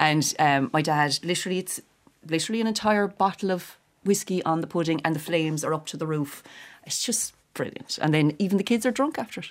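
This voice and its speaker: A woman's fairly low voice at a fairly quick pace, with ordinary pitch variation. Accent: Cork. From Ireland, Cork. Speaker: actress and comedian. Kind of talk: casual chat.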